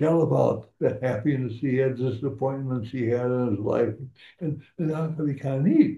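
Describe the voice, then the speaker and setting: A man talks at a moderate pace with a medium pitch and ordinary pitch variation. His voice is somewhat breathy. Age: 80s+. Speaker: war veteran. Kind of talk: interview answer.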